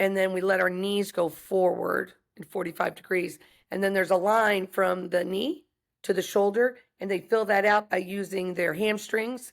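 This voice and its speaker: A woman with an American accent speaks at a moderate pace and medium pitch, with fairly even intonation, in an ordinary speaking voice. The recording is very clean with a silent background. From US South. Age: 60s. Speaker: wrestling and fighting coach. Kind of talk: podcast interview.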